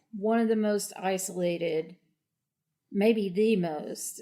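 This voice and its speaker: Speaking at a very slow pace with an Appalachian accent, a woman has a dark, mellow tone and ordinary pitch variation. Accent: Appalachian, noticeable. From southern West Virginia, Appalachia. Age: 40s. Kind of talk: interview.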